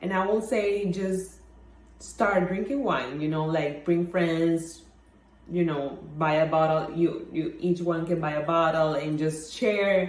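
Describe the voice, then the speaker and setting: Speaking very slowly with a Mexican accent, a woman has a fairly low pitch and ordinary pitch variation. Room echo is audible. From Mexico. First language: Spanish. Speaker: wine blogger. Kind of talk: personal talk. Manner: halting, many fillers.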